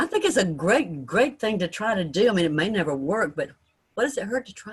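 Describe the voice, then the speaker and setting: A somewhat breathy woman's voice at a medium pitch and a fairly quick pace, with very wide pitch swings and big swings in loudness. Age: 70s. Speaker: radio interviewer. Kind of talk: casual interview chat; show sign-off. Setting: video call. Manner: animated.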